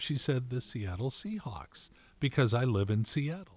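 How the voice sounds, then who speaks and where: A man with a medium-pitched, somewhat breathy voice and lively intonation, recorded very cleanly against a silent background. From California. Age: 60s. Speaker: podcast co-host. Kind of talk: casual chat.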